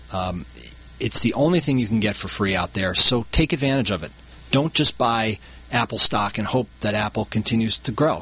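Lively intonation carries an unremarkable speaking voice at a moderate pace. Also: man. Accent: American. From Wisconsin, Milwaukee area. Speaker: hedge fund CEO, former lawyer. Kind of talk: radio interview. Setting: studio.

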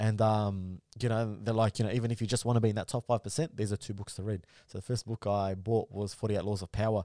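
A man with an Australian accent talks very fast, with hardly any pauses, in a dark, mellow tone at a fairly low pitch with fairly even intonation. The sound is dry and close, with no echo, and the recording is very clean with a silent background. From Melbourne, Australia. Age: 20s. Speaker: content creator. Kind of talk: casual chat.

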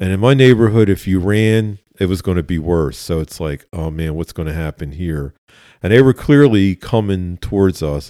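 Moderate-paced speech in a Philadelphia accent, dark and mellow in tone with ordinary pitch variation, dry and close with no echo on a very clean recording with a silent background. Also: man. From West Philadelphia. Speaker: retired police officer. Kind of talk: interview conversation, storytelling.

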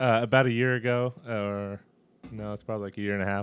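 A man speaks with an American accent at a fairly low pitch. His intonation stays fairly even. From San Francisco, California. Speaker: skydiving instructor. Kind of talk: casual chat.

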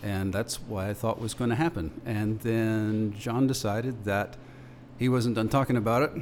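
A man speaks in an ordinary speaking voice at a medium pitch, keeping a moderate pace and fairly even intonation. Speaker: radio host. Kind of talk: panel discussion, casual chat. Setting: studio.

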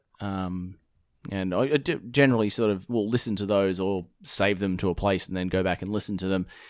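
A man with an Australian accent talks at a fairly quick pace and fairly low pitch with fairly even intonation, in a very clean recording against a silent background. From Perth, Western Australia. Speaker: podcast host. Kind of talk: casual chat.

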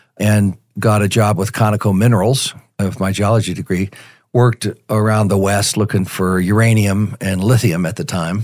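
On a very clean recording with a silent background, a man with a General American accent uses an ordinary speaking voice, speaking at a fairly low pitch and moderate pace with fairly even intonation. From Colorado, Denver. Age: 60s. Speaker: retired sales executive and mentoring ministry volunteer. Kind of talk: interview.

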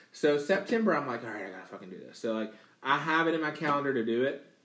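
Very fast speech from a man, with ordinary pitch variation and audible room echo. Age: 30s. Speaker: gamer and streamer. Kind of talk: casual chat.

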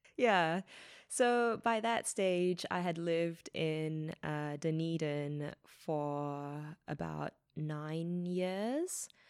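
A woman's fairly low voice in a New Zealand accent at a very slow pace, with ordinary pitch variation, on a very clean recording with a silent background. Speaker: startup founder and CEO. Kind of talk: interview. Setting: recording at a borrowed venue. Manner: frequent filler words.

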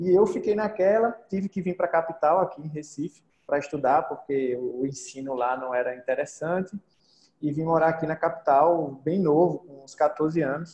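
In a normal speaking voice, a man with a fairly high pitch talks at a moderate pace, with ordinary pitch variation and big swings in loudness. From Brazil, interior of Pernambuco (Arcoverde). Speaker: podcaster and online entrepreneur. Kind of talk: casual interview.

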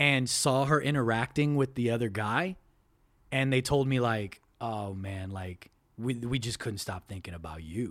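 An ordinary speaking voice from a man, medium in pitch, at a fairly slow pace with lively intonation. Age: 30s. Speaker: podcast host guest. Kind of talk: casual chat. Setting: video call.

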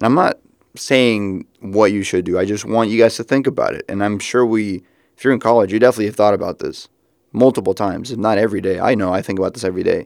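In a very clean recording with a silent background and a dry, close sound with no echo, a man talks at a very fast pace in a fairly low pitch with fairly even intonation. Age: 20s. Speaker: podcast host. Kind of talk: solo monologue. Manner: casual, reflective.

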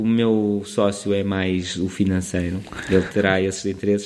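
The speaker is a man. He talks in a Lisbon accent. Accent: European Portuguese, Lisbon. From Portugal, Lisbon. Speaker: preschool teacher. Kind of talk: casual interview. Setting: school. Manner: halting.

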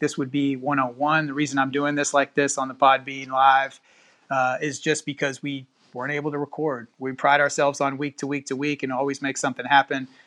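At a moderate pace, a man speaks in a medium pitch with a bright, sharp tone.

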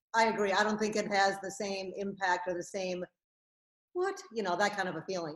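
A woman speaks with a plain, everyday voice. Her pitch is medium and her pace fairly quick. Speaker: filmmaker. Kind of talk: casual interview.

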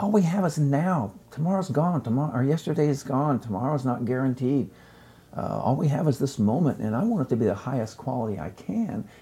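This man's voice is somewhat breathy, with a dark, mellow tone and a fairly high pitch. He talks at a fairly quick pace with lively intonation. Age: 70s. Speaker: chef and author. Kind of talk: casual chat.

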